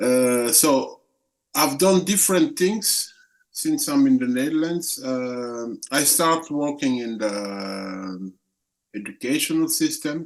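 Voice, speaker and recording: A man speaks at a very slow pace. He talks with a French accent. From Congo (Central Africa). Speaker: activist. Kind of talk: interview. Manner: halting, many fillers and repetitions.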